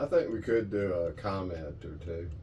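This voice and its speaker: With audible room echo around him, a man speaks in a dark, mellow tone. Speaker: sailing vlogger. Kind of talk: casual chat.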